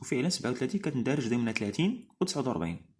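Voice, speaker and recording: This man talks at a fairly quick pace. His pitch swings very widely. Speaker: driving instructor. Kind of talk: educational explainer. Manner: casual, hesitant.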